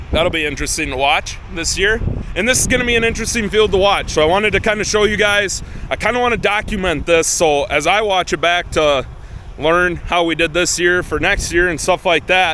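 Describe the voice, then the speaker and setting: Noticeable background noise sits behind a man's high-pitched voice. He talks at a fairly quick pace with ordinary pitch variation. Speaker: farmer. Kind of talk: casual vlog talk. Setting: outdoors in a field. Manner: fast.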